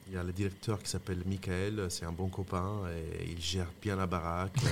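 The man's voice is very deep and low, flat and monotone. He talks at a moderate pace. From Italy, Lombardy (Mantua). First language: Italian (speaking French). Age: 30s. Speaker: restaurateur and chef. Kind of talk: casual interview.

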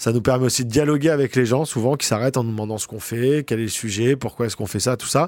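A man talks at a very fast pace with hardly any pauses, his medium-pitched voice showing ordinary pitch variation. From Paris region, France (Boulogne). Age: 40s. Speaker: photojournalist. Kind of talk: interview. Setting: office. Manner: hesitant, frequent fillers.

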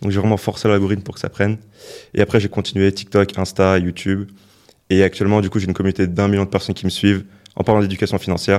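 Over a silent background in a very clean recording, a man with a fairly low pitch talks at a very fast pace in a flat monotone. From France, Paris suburbs (Val d'Oise). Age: 20s. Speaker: entrepreneur and content creator. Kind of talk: interview.

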